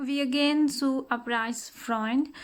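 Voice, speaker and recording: Over noticeable background noise, a woman speaks very slowly at a high pitch with fairly even intonation. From Pakistan. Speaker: vlogger, mother. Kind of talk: casual vlog narration. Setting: outdoors, walking with children. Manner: halting, frequent hesitations.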